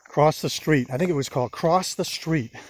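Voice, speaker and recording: His delivery is fairly quick. The speaker is a man with an American accent. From Maine, US (Old Orchard Beach). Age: 60s. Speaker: vlogger. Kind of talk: testimony. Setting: outdoors. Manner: halting.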